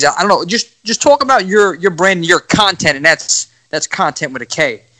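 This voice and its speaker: Bright and sharp in tone, a man with a strong New York accent talks with ordinary pitch variation, the sound dry and close with no echo. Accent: thick New York. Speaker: podcast host. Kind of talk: casual chat.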